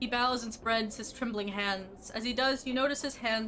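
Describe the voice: What's heard is plain reading aloud.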